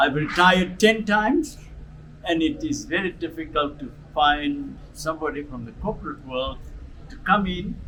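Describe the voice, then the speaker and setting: A man talks in a high voice with very wide pitch swings. Noticeable background noise runs underneath. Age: 80s+. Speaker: retired pastor and charity founder. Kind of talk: interview testimony. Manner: halting.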